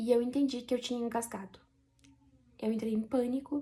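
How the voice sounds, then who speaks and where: Fairly quick and fairly high-pitched, a woman talks in a dark, mellow tone. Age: 30s. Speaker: vlogger. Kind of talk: personal testimony.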